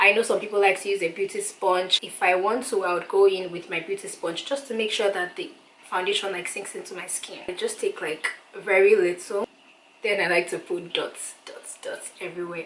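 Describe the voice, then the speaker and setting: A woman at a fairly quick pace, with big swings in loudness and noticeable background noise. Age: 20s. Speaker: beauty YouTuber. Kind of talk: makeup tutorial talk to camera. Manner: casual, chatty.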